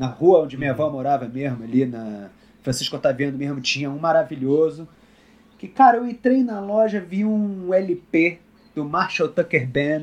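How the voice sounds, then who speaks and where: With a Rio de Janeiro accent, a man speaks at a moderate pace and a fairly high pitch, his voice making very wide pitch swings. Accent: Rio de Janeiro (carioca). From Brasília, Brazil. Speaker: country guitarist. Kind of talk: casual interview.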